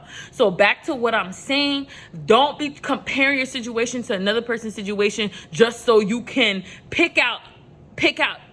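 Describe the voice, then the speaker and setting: An American-accented woman speaks at a moderate pace in a passionate, bright and sharp tone, fairly high in pitch with ordinary variation. The recording is very clean, with a silent background. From New York. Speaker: motivational vlogger. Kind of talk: motivational talk to camera. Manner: casual; passionate, rises in pitch.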